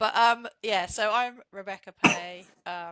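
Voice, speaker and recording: Woman with a British accent, bright and sharp in tone, ordinary pitch variation, dry and close with no echo. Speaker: CV writer and entrepreneur. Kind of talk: casual interview chat.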